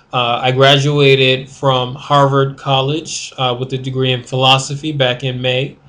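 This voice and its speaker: Delivered in a flat monotone at a moderate pace, the speech runs on with hardly any pauses. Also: man, medium pitch for a man. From US Northeast (Rochester, New York). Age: 20s. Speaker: law student. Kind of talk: video diary. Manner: hesitant, many fillers.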